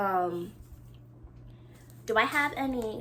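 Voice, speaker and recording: With vocal fry and lively intonation, a woman speaks at a medium pitch in an animated tone. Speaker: knitting podcaster. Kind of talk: casual chat.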